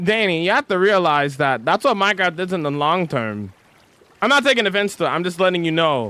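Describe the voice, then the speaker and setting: A man talks at a high pitch in a bright, sharp tone. His pitch swings very widely and his pace is fairly quick. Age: 20s. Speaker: Minecraft livestreamer. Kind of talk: casual livestream chat.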